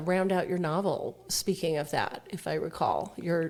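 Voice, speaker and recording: Using an ordinary speaking voice, a woman talks at a medium pitch with an American accent. Her pace is fairly slow. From Colorado, Denver area. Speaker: podcast host. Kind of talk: interview.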